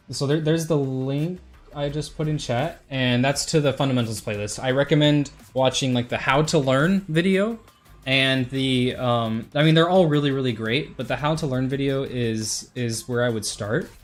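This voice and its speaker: The speaker keeps a moderate pace. Behind the voice, music is playing. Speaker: gaming streamer. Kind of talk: tutorial; casual chat.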